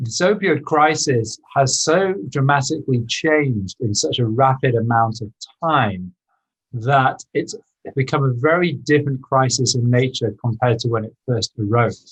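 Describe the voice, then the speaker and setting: With a British accent, a man speaks at a medium pitch and a moderate pace, somewhat breathy, with ordinary pitch variation. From UK. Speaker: inventor and former surgeon. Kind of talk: podcast interview.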